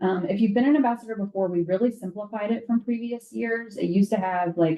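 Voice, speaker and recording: Moving fairly quickly, this woman's speech shows ordinary pitch variation. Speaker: university alumni staff trainer. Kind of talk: training presentation.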